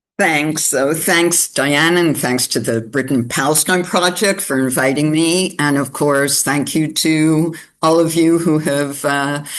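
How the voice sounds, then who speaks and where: With a Canadian accent, a woman speaks at a fairly slow pace in a very deep, low pitch, keeping her intonation fairly even and hardly pausing. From Canada. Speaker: political activist and communications director. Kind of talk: webinar talk. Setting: online webinar.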